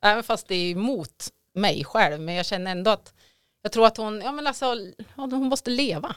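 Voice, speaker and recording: This woman has an unremarkable speaking voice with a fairly high pitch and lively intonation at a moderate pace. The recording is very clean with a silent background. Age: 40s. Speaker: podcast guest, contest winner. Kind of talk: casual chat.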